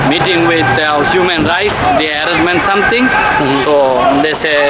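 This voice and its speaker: A man at a fairly quick pace, ordinary pitch variation, loud background noise behind him. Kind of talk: street interview answer. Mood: grieving, upset. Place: street. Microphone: phone near.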